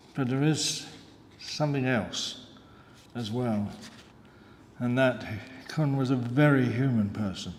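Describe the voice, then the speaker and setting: Amid audible room echo, a man with a medium pitch talks at a fairly slow pace with fairly even intonation and long, frequent pauses. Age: 80s+. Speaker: retired lab technician, eulogist. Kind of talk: eulogy. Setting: funeral service. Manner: halting.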